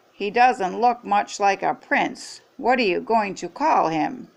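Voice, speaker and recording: A woman's raspy put-on character voice, medium in pitch, fairly slow, against a quiet background. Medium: read story.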